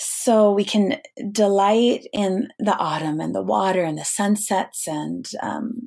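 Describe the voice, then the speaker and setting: A woman with an American accent, medium pitch and ordinary pitch variation. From US Pacific Northwest, Snohomish, Washington. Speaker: eco-theologian and pilgrimage guide. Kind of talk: interview conversation. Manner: halting, many fillers.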